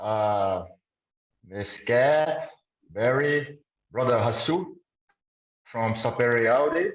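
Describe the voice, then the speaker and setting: A man with a Brazilian Portuguese accent, medium in pitch, very slow, with ordinary pitch variation. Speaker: audience member asking a question. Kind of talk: question from the audience. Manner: halting.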